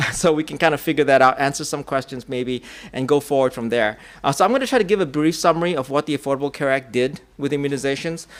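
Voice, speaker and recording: Talking at a very fast pace, a man with a fairly high voice shows ordinary pitch variation. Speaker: public health expert and conference speaker. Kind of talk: conference presentation. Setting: conference session with audience. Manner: halting with frequent fillers.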